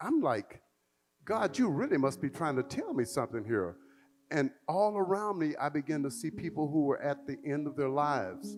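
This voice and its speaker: With an American accent, a man speaks at a moderate pace in a fairly high pitch that moves in very wide swings. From Texas, Tyler. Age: 70s. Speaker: singer and storyteller. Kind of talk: personal storytelling.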